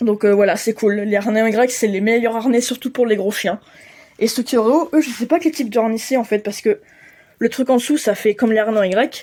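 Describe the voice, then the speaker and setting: A woman's dark, mellow tone at a fairly quick pace. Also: fairly high pitch for a woman, ordinary pitch variation. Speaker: pet vlogger. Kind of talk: casual vlog talk to camera. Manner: fast; hesitant, many fillers.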